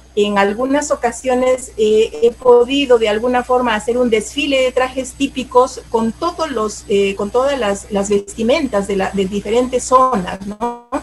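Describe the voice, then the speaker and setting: A woman speaks at a fairly slow pace in an Andean accent, with a high pitch and ordinary pitch variation. She hardly pauses, and there is noticeable background noise. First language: Aymara (speaking Spanish). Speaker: teacher and cultural promoter. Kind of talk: interview. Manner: halting, many fillers.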